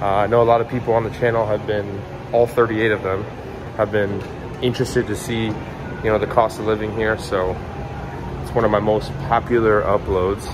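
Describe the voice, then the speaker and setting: Over noticeable background noise, a man speaks at a fairly quick pace in a fairly low voice with monotone, flat intonation. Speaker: vlogger. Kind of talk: casual vlog chat. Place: garage. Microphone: phone near.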